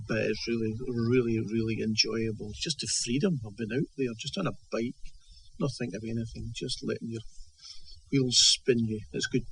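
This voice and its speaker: A man in a Scottish accent, somewhat breathy, with medium pitch, ordinary pitch variation and a moderate pace. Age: 70s. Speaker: author. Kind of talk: interview. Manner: halting, many repetitions and fillers.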